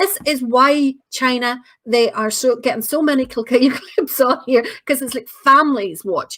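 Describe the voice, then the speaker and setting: Her voice high-pitched with a bright, sharp tone, a woman speaks at a moderate pace in a Northern Irish accent with ordinary pitch variation. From Northern Ireland. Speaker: online show host. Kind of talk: live-stream chat, reading viewer comments. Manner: casual, chatty.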